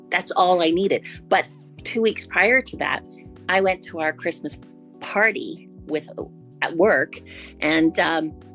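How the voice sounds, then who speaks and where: Over music in the background, a woman talks at a fairly slow pace with ordinary pitch variation and long, frequent pauses. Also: medium pitch for a woman. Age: 60s. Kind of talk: interview answer.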